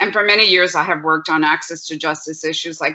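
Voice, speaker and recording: In a very deep, low voice, a woman speaks with fairly even intonation. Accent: Spanish. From Puerto Rico. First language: Spanish. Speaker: law professor. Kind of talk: panel presentation.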